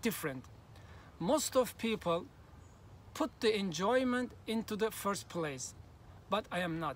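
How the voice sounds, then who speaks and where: With a Turkish accent, a man speaks in a high voice with lively intonation. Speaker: language learning youtuber. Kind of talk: vlog monologue.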